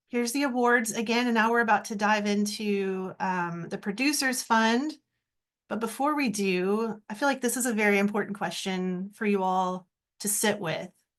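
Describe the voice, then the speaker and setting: A woman's fairly high-pitched, plain, everyday voice at a moderate pace, with ordinary pitch variation and a quiet background. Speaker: arts program staff presenter. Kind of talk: online info session presentation.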